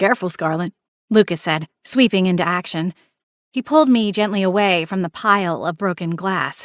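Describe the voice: A plain reading-aloud voice with ordinary pitch variation is heard against a quiet background.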